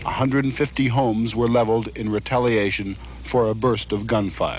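A man talks at a moderate pace with fairly even intonation. The sound is dry with no echo, with light background noise. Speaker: war correspondent. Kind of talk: news report narration. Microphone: old recording.

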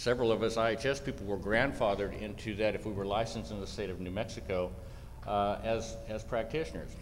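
A man speaks in a normal speaking voice, pitched fairly low. Light background noise sits behind him. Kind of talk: speaker introduction speech. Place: hall. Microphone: podium.

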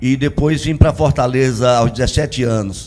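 A man with a Paraíba accent at a moderate pace. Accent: Paraíba northeastern. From Paraíba, raised rural Ceará. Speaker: singer-songwriter; guest. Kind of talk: TV interview. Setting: TV studio. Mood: warm, good-humoured. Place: studio. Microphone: handheld.

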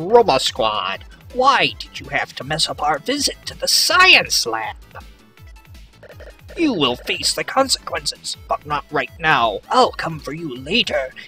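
Faint background music under a put-on character voice, delivered at a fairly slow pace. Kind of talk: theatrical. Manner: menacing, put-on.

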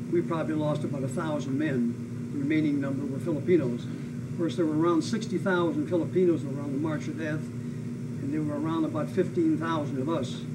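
Over loud background noise, a man with an American accent speaks in a solemn tone at a fairly quick pace. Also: fairly high pitch for a man, lively intonation. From US Pacific Northwest. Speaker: WWII veteran and former prisoner of war, aviator. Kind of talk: oral history interview, elder life story of wartime captivity and rescue. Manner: solemn, matter-of-fact, emphatic on atrocities. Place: home room.

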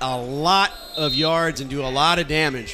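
A man is speaking with noticeable background noise. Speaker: play-by-play announcer and interviewer. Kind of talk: live play-by-play sports commentary. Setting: stadium broadcast booth.

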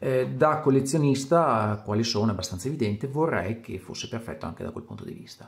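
The speech runs at a very fast pace with hardly any pauses and big swings in loudness, over noticeable background noise. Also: man, medium pitch for a man. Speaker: watch collector. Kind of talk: video presentation.

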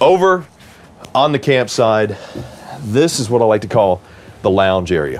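Fairly slow male speech against light background noise. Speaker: RV salesman or tour host. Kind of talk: casual product walkthrough.

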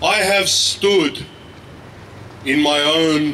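Over light background noise, a man with an Australian accent speaks with ordinary pitch variation. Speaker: activist; speaker. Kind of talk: protest speech. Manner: impassioned. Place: street. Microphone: handheld.

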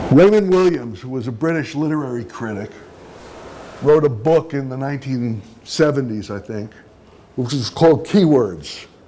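At a fairly slow pace, a man with medium pitch and lively intonation makes big swings in loudness, amid audible room echo and noticeable background noise. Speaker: media studies professor. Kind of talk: lecture.

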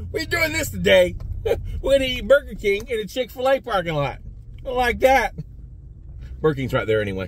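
The recording is dry, with no echo. A man speaks at a fairly quick pace. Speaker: food reviewer vlogger. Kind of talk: casual vlog chat. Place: car. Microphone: phone near.

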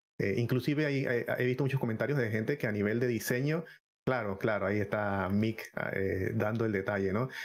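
Here is an ordinary speaking voice from a man at a fairly quick pace. His pitch is medium with ordinary variation, and his loudness stays very even. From Panama. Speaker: gaming content creator. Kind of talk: live-streamed podcast chat. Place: home room. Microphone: headset.

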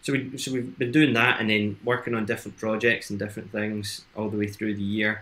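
A plain, everyday voice with fairly even intonation. The pace is fairly quick. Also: man. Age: 20s. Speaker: entrepreneur in education and training; interview guest. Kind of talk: casual chat. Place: home room.

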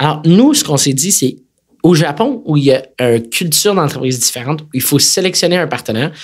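Fairly high male voice, brisk and fairly quick, full of lively intonation. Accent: Quebec. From Quebec City, Quebec. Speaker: tech company executive. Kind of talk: interview conversation.

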